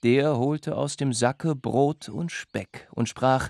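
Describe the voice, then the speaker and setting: Against a quiet background, a man talks in an animated tone with ordinary pitch variation. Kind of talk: fairy tale telling. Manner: storyteller's voice with animated character voices.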